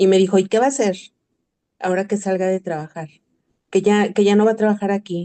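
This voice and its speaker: In a dry, close recording with no echo, a woman talks at a medium pitch with a dark, mellow tone. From Mexico, Ecatepec, State of Mexico. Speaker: retired school worker, participant. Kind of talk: audience testimony in online masterclass.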